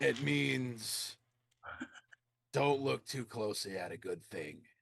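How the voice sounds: A man's put-on character voice at medium pitch, slow and lively in intonation, with a fairly bright tone, a slightly husky edge and vocal fry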